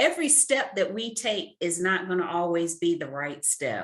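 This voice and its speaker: Speaking at a fairly slow pace, a woman's voice makes very wide pitch swings. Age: 40s. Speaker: author and career mentor. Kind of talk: interview. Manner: emphatic.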